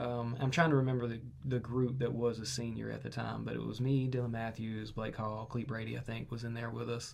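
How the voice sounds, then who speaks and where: Spoken at a fairly quick pace with hardly any pauses, the voice stays monotone and flat while audible room echo surrounds it. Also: man, medium pitch for a man. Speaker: podcast host. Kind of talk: casual chat. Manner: loud.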